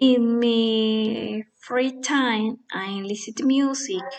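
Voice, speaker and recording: A woman with a Spanish accent speaks at a very slow pace. Her pitch is fairly high, with ordinary pitch variation. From Colombia, Boyacá (Chiquinquirá). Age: 20s. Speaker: nursing assistant and English learner. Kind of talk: prepared self-introduction for English practice. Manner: halting, with fillers.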